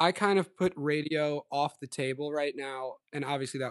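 A man has a normal speaking voice with ordinary pitch variation. The sound is dry and close with no echo, over a quiet background. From Long Island, New York. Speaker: musician, songwriter and producer. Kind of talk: casual interview chat.

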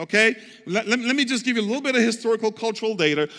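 An animated tone comes through in a raised, projected voice. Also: man. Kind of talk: sermon. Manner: animated, call-and-response preacher urging the congregation to say amen; emphatic, repetitive, conversational.

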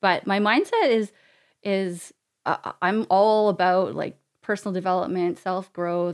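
With a Canadian accent, a woman uses a normal speaking voice at a medium pitch with ordinary pitch variation, on a very clean recording with a silent background. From Canada. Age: 40s. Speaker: charity founder and entrepreneur. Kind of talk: interview conversation. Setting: podcast studio.

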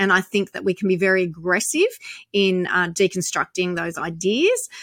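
A bright, sharp tone comes through in an Australian accent at a moderate pace. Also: woman. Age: 50s. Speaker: activist. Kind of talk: interview.

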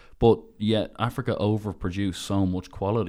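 A man with a very deep, low pitch, a dark, mellow tone and fairly even intonation. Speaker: podcast host. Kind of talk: casual interview.

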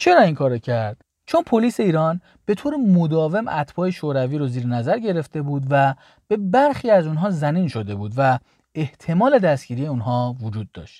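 Fairly high in pitch, a man's voice has a dark, mellow tone and very wide pitch swings. The background is quiet, and the sound is dry and close with no echo. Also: moderate pace. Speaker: history podcast host. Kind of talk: scripted narration.

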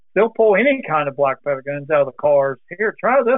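Fairly quick male speech in an American accent. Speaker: muzzleloading YouTuber, retired mail carrier. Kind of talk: casual interview chat.

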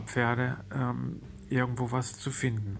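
Audible room echo colors the medium-pitched voice of this man. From Germany. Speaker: podcaster and horse trainer. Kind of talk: personal monologue. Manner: hesitant, many fillers.

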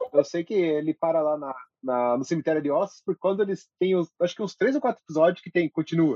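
This man talks at a very fast pace. His pitch is high, with ordinary variation. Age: 30s. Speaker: podcast guest, film enthusiast. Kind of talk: casual chat.

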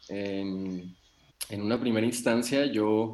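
A man is speaking. He goes at a very slow pace. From Mexico, Nayarit. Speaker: psychologist and psychotherapist. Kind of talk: interview. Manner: halting, many fillers and repetitions.

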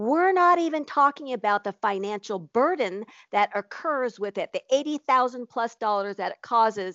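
Speaking fairly slowly, a woman with a high voice sounds animated, her pitch swinging very widely. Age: 50s. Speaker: nutritionist and podcast co-host. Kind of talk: casual chat.

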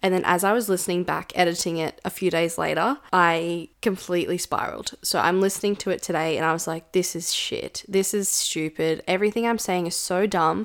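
At a fairly quick pace, a woman with medium pitch and fairly even intonation talks in a plain, everyday voice over a very clean recording with a silent background. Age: 20s. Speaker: business coach podcast host. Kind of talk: solo podcast monologue. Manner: casual, conversational.

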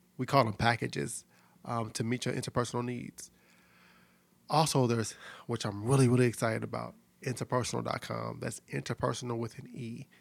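A man with an American accent and vocal fry, medium in pitch, fairly even in intonation and fairly quick, with long, frequent pauses, in a very clean recording with a silent background. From US Midwest, St. Louis, Missouri. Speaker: podcast host, relationship coach. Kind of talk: casual monologue about relationships. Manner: conversational, filler-heavy.

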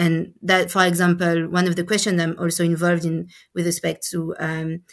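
Speaking with a French accent, a woman talks at a fairly quick pace in a fairly low pitch with monotone, flat intonation on a very clean recording with a silent background. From France, Paris. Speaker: education researcher. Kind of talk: interview. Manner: halting.

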